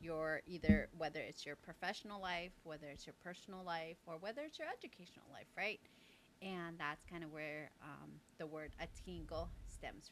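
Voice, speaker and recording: A woman with vocal fry speaks at a fairly low pitch with fairly even intonation and big swings in loudness. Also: moderate pace. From Navajo reservation, US Southwest. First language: Navajo. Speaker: nonprofit co-founder. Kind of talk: interview. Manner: hesitant, many fillers.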